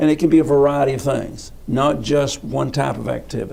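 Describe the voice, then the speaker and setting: A man of medium pitch with a Southern US accent, a dark, mellow tone and a moderate pace. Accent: US South. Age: 70s. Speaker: physical education coach. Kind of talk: interview. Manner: halting.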